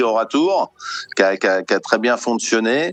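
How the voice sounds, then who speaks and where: A man speaks at a medium pitch and moderate pace, captured in a dry, close sound with no echo. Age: 60s. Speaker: sports federation president, retired plumber. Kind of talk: interview. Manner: halting, many repetitions and fillers.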